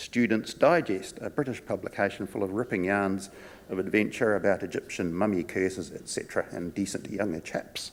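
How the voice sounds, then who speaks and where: At a fairly quick clip, a man talks in a New Zealand accent. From New Zealand, Palmerston North and Wellington. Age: 60s. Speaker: conference speaker, former physiotherapist and wine tour guide. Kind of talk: conference talk.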